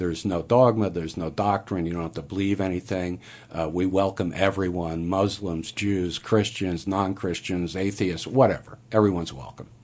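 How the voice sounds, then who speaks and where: A man with an American accent speaks in a very deep, low voice at a moderate pace, keeping his intonation fairly even and hardly pausing at all. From Montgomery, New York (US Northeast). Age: 60s. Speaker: conceptual artist. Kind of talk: radio interview.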